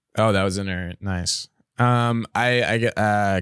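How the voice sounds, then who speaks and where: With a fairly low pitch and ordinary pitch variation, a man talks in an unremarkable speaking voice. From Ontario, Canada. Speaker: comedian. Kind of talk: casual chat.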